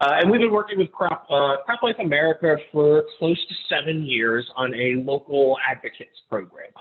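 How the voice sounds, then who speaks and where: A fairly high-pitched man with lively intonation and hardly any pauses, over noticeable background noise. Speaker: public relations consultant. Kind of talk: presentation. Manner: fast; loud.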